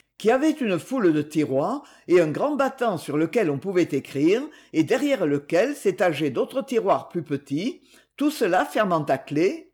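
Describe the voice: The voice has a slightly husky edge and a slightly mellow tone. It moves at a moderate pace with big pitch swings.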